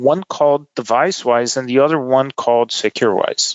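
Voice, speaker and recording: Speaking in a Brazilian accent, a man keeps a moderate pace. His pitch runs fairly high. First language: Portuguese. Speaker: tech company executive. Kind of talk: podcast interview. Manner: hesitant, many fillers.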